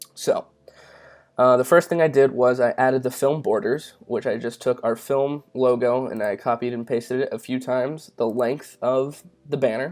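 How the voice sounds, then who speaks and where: At a moderate pace, an ordinary speaking voice delivers fairly even intonation on a very clean recording with a silent background. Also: man, medium pitch for a man. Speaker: YouTube tutorial creator. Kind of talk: tutorial. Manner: casual with many fillers.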